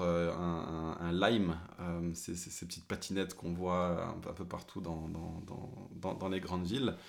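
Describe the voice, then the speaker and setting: A man with a very deep, low voice speaks at a fairly slow pace, with audible room echo. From Paris, France. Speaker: pastor and podcast co-host. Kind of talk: casual chat.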